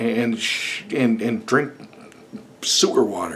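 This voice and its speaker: A man speaks with very wide swings in pitch. The room echo is clearly audible. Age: 40s. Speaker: YouTuber. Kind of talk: casual video blog rant. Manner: animated.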